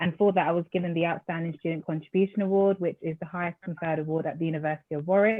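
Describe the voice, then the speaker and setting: A woman with an Essex accent speaks at a very fast pace with hardly any pauses. Her voice is fairly low, with fairly even intonation. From Essex, England, Nigerian heritage. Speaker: graduate, panelist. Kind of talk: panel self-introduction.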